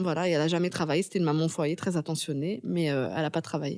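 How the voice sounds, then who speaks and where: Speaking at a very fast pace, a woman has a dark, mellow tone and fairly even intonation in a very clean recording with a silent background. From Paris suburbs (Pantin, Seine-Saint-Denis), France. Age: 30s. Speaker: novelist and screenwriter. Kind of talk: interview.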